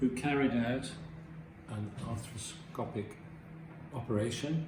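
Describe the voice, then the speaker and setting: A man speaks at a medium pitch and a fairly slow pace, with ordinary pitch variation. Noticeable background noise and audible room echo come through. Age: 70s. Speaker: surgery patient. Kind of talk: testimony.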